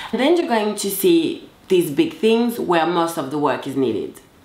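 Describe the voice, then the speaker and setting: With a French accent, a woman's voice swings very widely in pitch. Noticeable background noise and audible room echo are present. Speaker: confidence coach. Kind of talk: motivational talk to camera. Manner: casual, direct.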